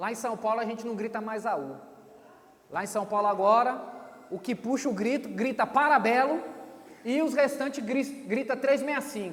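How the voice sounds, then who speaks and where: A man with an extremely high pitch speaks at a moderate pace with lively intonation. Audible room echo and noticeable background noise surround him. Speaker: pastor. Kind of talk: sermon. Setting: church stage with audience.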